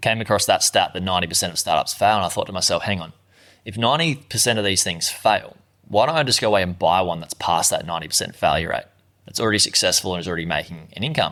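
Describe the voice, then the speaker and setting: A man with an Australian accent speaks at a very fast pace in a bright, sharp tone. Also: lively intonation, very clean recording, silent background. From Australia, Gold Coast. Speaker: online entrepreneur, former plumber. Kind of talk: interview.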